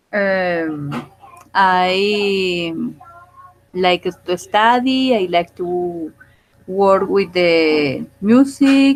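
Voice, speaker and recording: Speaking at a very slow pace with long, frequent pauses, a woman with a Spanish accent uses ordinary pitch variation. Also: medium pitch for a woman. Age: 40s. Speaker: student. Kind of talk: oral exam. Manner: halting.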